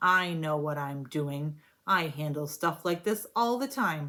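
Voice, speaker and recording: Growling in a put-on character voice at a middle pitch, the speaker goes at a fairly slow pace in a very clean recording with a silent background. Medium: read story. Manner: curt, snarling.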